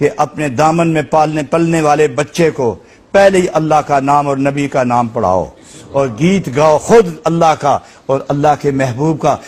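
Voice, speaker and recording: The delivery has a passionate tone with ordinary pitch variation. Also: man, fairly high pitch for a man. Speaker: religious scholar. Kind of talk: Islamic sermon (bayan) to a live audience. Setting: mosque or hall with live audience. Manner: passionate, emotive, oratorical.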